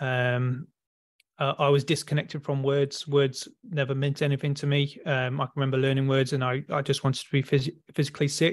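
Speaking in an English accent, a man keeps his intonation flat and monotone. His pitch is fairly high and his pace fairly quick. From rural England. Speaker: electrician and spiritual coach. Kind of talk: interview.

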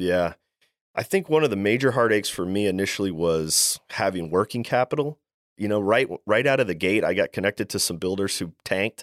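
A man with an American accent speaks at a fairly quick pace in an unremarkable speaking voice, his pitch fairly low and its variation ordinary, recorded dry and close with no echo, very clean against a silent background. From Maryland, US East Coast. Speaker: plumbing business owner. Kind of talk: interview.

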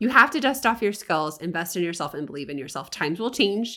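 Her bright, sharp tone is animated, with very wide pitch swings as the woman talks at a fairly quick pace. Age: 40s. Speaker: podcast host and freelance business coach. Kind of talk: casual solo podcast monologue. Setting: home recording.

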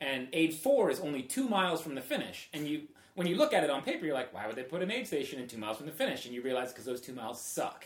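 Speaking very fast with hardly any pauses, a man with an American accent uses lively intonation, a fairly high pitch and big swings in loudness, while noticeable background noise sits behind him. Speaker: trail runner and photographer. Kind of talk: casual chat.

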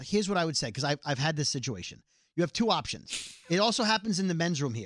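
On a very clean recording with a silent background, a man with a New York accent talks very fast at a fairly high pitch with lively intonation. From Brooklyn, New York. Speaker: podcast co-host, radio personality. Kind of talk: casual comedic banter. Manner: fast talker.

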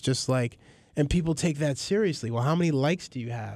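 Someone with a New York accent talks at a fairly quick pace with ordinary pitch variation. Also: man. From New York City (Queens, Astoria). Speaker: filmmaker and hip-hop journalist. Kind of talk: casual interview chat.

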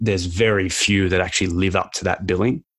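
With an Australian accent, a man with a very deep, low voice talks at a fairly quick pace and fairly even intonation over a quiet background. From Australia (Canberra). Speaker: podcast host. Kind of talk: interview.

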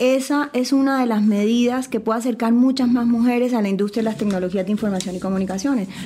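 Very fast and with hardly any pauses, a woman speaks in a fairly high pitch with very even loudness and fairly even intonation, over noticeable background noise. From Colombia. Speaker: lawyer and tech entrepreneur. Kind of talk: casual panel conversation.

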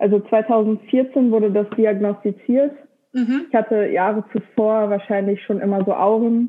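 With a plain, everyday voice, a woman of fairly high pitch speaks at a fairly slow pace, her loudness very even and her intonation fairly even. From Lower Saxony, Germany. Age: 20s. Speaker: engineering graduate, epilepsy social media creator. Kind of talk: casual interview conversation.

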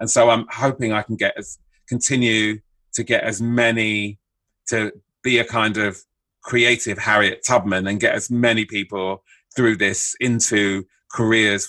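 On a very clean recording with a silent background, a man speaks with a London accent. His bright, sharp tone sits at a fairly low pitch with fairly even intonation. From southeast London (Bermondsey). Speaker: screenwriter. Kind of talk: interview.

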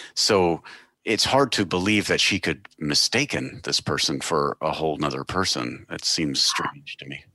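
With an American accent and vocal fry, a man speaks at a moderate pace in a very deep, low pitch, his tone bright and sharp and his intonation lively, the sound dry and close with no echo against a quiet background. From Texas. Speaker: true crime podcast host. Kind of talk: scripted narration.

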